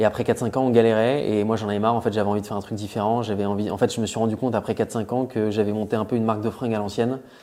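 The very clean recording has a silent background, with a man speaking in a fairly low voice. His tone is dark and mellow, his intonation monotone and flat. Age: 30s. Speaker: entrepreneur, clothing brand founder. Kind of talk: casual interview. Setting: in person at the company's premises.

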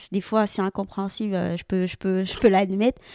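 The voice has a dark, mellow tone on a very clean recording with a silent background. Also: woman. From French Guiana. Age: 20s. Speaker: judoka and sambo athlete. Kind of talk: interview podcast.

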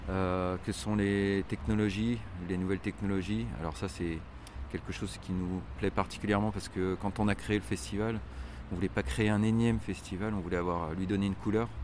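This man's pitch is very deep and low, with ordinary pitch variation. His pace is moderate. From France, Lyon. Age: 40s. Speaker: street art festival artistic director. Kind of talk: interview. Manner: halting, many hesitations.

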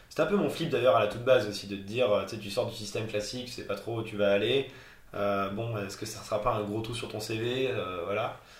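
A man at a medium pitch and fairly quick pace, fairly even intonation and big swings in loudness, with audible room echo and noticeable background noise. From France, Haute-Loire (Auvergne). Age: 20s. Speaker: travel blogger. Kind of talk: interview.

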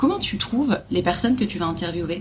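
A woman speaks at a moderate pace with lively intonation. Noticeable background noise runs behind her. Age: 30s. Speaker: podcast host, travel trainer. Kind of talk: casual interview.

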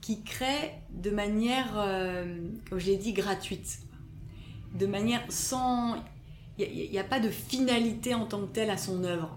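A woman speaks at a fairly slow pace, leaving long, frequent pauses. There is audible room echo. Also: medium pitch for a woman, ordinary pitch variation. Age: 30s. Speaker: cultural mediation consultant. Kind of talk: interview. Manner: halting, many repetitions and fillers.

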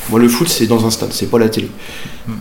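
There is audible room echo and noticeable background noise. A man speaks at medium pitch. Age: 40s. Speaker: merchant sailor, football supporter. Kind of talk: interview, casual storytelling.

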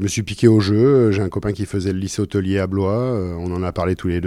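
A man talks at a very fast pace in a dark, mellow tone with ordinary pitch variation. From France, Loiret (Orléans, Sologne). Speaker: two-star chef. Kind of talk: interview. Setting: restaurant in a Paris hotel. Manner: calm; hesitant, repeats words.

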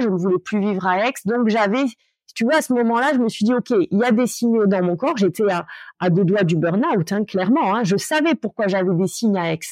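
Her intonation is lively and her pitch medium for a woman. The background is quiet. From Corsica, Ajaccio. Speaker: lawyer and coach. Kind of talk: interview. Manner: hesitant, many fillers.

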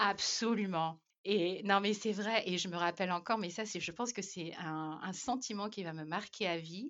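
A woman speaks in an unremarkable speaking voice, mid-range in pitch. She keeps an average tempo and ordinary pitch variation. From Madagascar. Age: 30s. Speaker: expatriate mother. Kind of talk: casual chat.

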